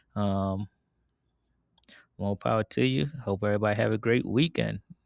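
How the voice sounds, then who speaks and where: With a plain, everyday voice, a man with a fairly low pitch speaks at a moderate pace with lively intonation, in a dry, close sound with no echo on a very clean recording with a silent background. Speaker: investing video host. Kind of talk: casual market commentary. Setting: outdoors in backyard at night.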